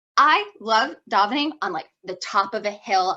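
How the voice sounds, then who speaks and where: A woman at a medium pitch, with music in the background. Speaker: student giving a Torah talk. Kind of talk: informal Torah talk. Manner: fast; casual, many fillers.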